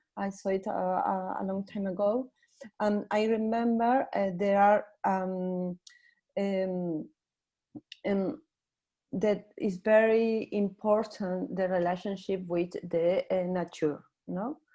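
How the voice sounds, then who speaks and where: Speaking at a very slow pace with long, frequent pauses, a woman with a medium pitch has a dark, mellow tone and fairly even intonation. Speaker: seminar participant. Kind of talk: academic discussion. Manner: halting, many fillers.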